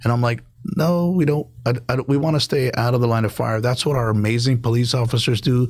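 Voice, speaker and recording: A man with a medium pitch talks at a very fast pace, somewhat breathy, with ordinary pitch variation and very even loudness. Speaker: state legislator and former firefighter. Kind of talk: podcast interview. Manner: halting, many fillers and restarts; speaks quietly at times.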